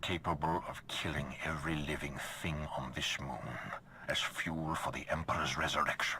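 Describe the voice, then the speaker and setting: A man puts on a character voice with a very deep, low pitch. He keeps a moderate pace amid clear background noise. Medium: video game. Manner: cold, authoritative.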